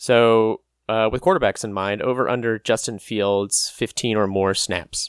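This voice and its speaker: A man's plain, everyday voice at medium pitch, fairly slow pace and fairly even intonation, in a dry, close sound with no echo. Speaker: podcast co-host. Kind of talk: casual chat.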